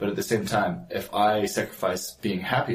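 The speaker has a New Zealand accent. Room echo is audible. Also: man. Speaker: entrepreneur and father. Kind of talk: casual chat.

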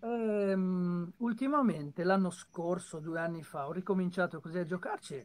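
He is a man with a high-pitched voice. His speed is moderate. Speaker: voice actor and dubber. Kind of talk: casual chat. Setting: video call. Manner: clear trained diction. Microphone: too quiet.

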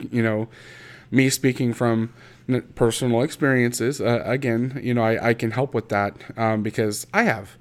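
A man with a Midwestern American accent speaks at a moderate pace in a medium-pitched, flat monotone with very even loudness. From Indiana, US Midwest. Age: 30s. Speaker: podcast host. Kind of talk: personal monologue. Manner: halting, many fillers.

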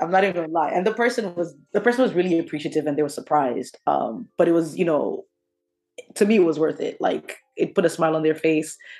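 Music plays in the background while a woman speaks at a very fast pace in a fairly low pitch. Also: ordinary pitch variation. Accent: American. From Kenya, then New Jersey (US). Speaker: sneaker enthusiast. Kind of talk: casual chat.

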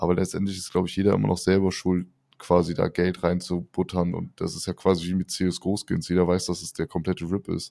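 Over a silent background in a very clean recording, a man speaks at a fairly quick pace with a dark, mellow tone, a very deep, low pitch and monotone, flat intonation. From Rhineland, near Cologne. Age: 30s. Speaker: podcast co-host. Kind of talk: casual chat.

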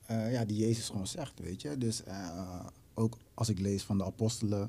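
A dark, mellow tone with ordinary pitch variation. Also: man. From Netherlands, Rotterdam. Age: 20s. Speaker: musician and songwriter. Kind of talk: casual chat.

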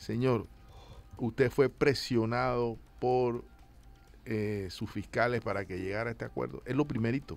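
A plain, everyday voice from a man, medium in pitch, with fairly even intonation and a moderate pace. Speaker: journalist panelist. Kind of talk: radio panel discussion.

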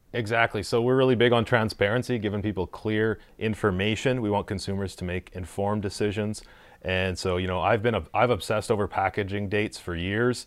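A man talks at a fairly quick pace in a fairly low pitch. There are hardly any pauses. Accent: Canadian Prairies. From Saskatchewan, Canada. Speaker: brewery owner. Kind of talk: casual interview. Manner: animated.

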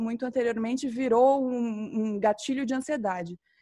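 A woman with a high-pitched voice shows ordinary pitch variation as she talks. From Campo Grande, Mato Grosso do Sul, Brazil. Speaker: graduate researcher. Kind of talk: panel discussion.

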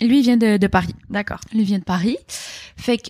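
A woman talks at a moderate pace with fairly even intonation in a dry, close sound with no echo, on a very clean recording with a silent background. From Quebec, Montreal (Rosemont). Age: 20s. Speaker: interviewee on a dating podcast. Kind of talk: casual interview chat.

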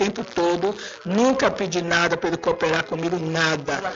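Speaking at a fairly slow pace, a woman is heard over noticeable background noise with audible room echo. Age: 70s. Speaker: listener. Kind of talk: recorded audio message plea. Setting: voice message. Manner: halting.

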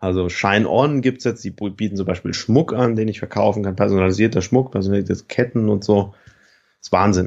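A man with a normal speaking voice, pitched fairly low, talks at a fairly quick pace. His pitch varies in an ordinary way. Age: 30s. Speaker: online t-shirt entrepreneur. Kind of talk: interview. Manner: relaxed conversational, frequent fillers.

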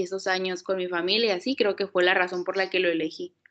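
At a very fast pace, a woman talks in a medium pitch. Her intonation stays fairly even. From Mexico, Hermosillo, Sonora. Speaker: recent graphic design graduate. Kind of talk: casual interview.

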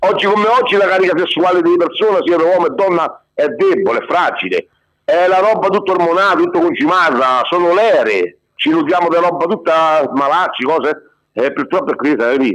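Here a man talks at a fairly quick pace with a high pitch and lively intonation. His loudness stays very even. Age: 40s. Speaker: self-proclaimed guru, former amateur athlete. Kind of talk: casual chat. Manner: halting.

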